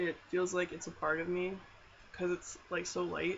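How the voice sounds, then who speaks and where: The speaker has a Canadian accent. Noticeable background noise can be heard. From Alberta, Canada. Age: 20s. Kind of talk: casual talk to camera, product review. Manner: hesitant, many filler words.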